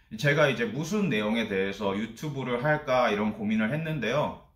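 Over audible room echo, a man with a medium pitch speaks at a moderate pace with lively intonation. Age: 30s. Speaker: office worker. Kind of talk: casual talk to camera. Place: home room.

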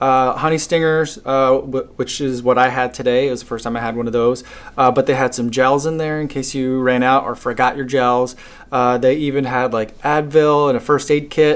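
The speaker talks at a moderate pace. The delivery is monotone, with flat intonation. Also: man. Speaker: runner vlogger. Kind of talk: casual vlog chat. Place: home room. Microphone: phone near.

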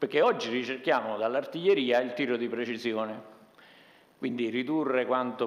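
Pitch varies in an ordinary way for this man. His delivery is fairly quick. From Italy. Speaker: army general; panelist. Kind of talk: conference talk. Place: meeting room. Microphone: podium.

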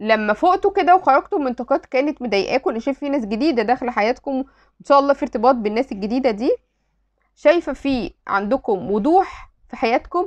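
A woman with a high voice swings her pitch very widely over a quiet background. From Egypt. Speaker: tarot reader. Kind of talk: tarot reading video. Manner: warm, chatty. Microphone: phone near.

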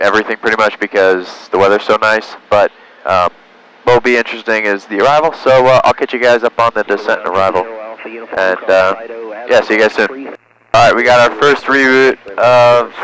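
A man at a fairly quick pace with ordinary pitch variation, a dry sound with no echo and light background noise. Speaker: private pilot vlogger. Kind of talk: casual vlog chat. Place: plane. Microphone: headset.

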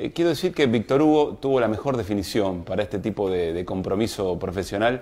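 Fairly low in pitch, a man speaks fairly quickly with lively intonation. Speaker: program host. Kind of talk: show opening monologue. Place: studio. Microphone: lapel.

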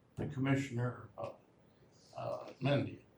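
The man's speech moves along at a moderate pace. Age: 80s+. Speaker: resident speaking at public meeting. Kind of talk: public comment at county meeting. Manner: loud; halting.

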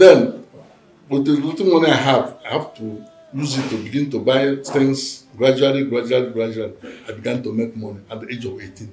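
Against light background noise and audible room echo, a man speaks at a fairly quick pace. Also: ordinary pitch variation. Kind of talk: interview answer. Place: home room.

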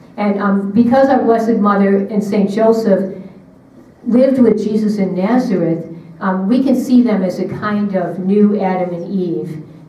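The speaker has an American accent, a moderate pace and fairly even intonation. Audible room echo surrounds the voice. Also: woman. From Syracuse, New York; New York. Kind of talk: retreat talk. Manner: hesitant, with frequent fillers and repetitions. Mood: gentle, earnest. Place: hall.

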